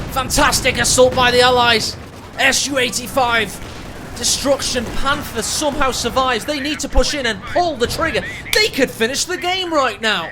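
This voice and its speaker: A man's extremely high-pitched voice, with ordinary pitch variation and a moderate pace, against noticeable background noise. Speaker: game caster. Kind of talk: live commentary. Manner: whispering.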